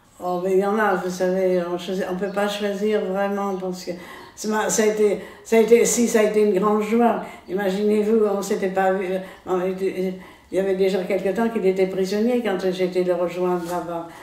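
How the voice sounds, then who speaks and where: There is noticeable background noise. A woman talks at a moderate pace and medium pitch in a monotone, flat intonation. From France. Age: 80s+. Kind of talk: interview answer. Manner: hesitant, halting.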